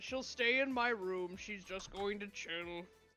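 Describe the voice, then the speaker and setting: The speaker uses a put-on character voice with a fairly high pitch. The delivery comes at a fairly slow pace. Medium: actual play. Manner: casual, offhand.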